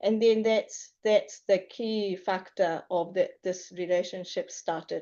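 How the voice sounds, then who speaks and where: Speaking at a very slow pace with hardly any pauses, a woman uses a medium pitch and fairly even intonation. She has a Japanese accent. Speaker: high school teacher. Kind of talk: public presentation. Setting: council meeting room. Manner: halting.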